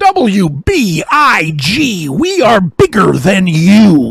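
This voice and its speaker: A booming, put-on character voice holds a middle pitch. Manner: boastful, announcer-style.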